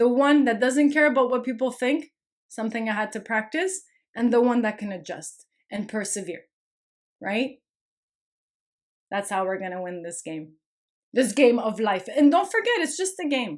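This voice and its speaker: A woman with a non-native accent talks at a moderate pace, taking long, frequent pauses. Her loudness swings widely and her pitch swings very wide. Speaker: online spiritual content creator. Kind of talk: casual vlog monologue. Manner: animated, repetitive emphatic.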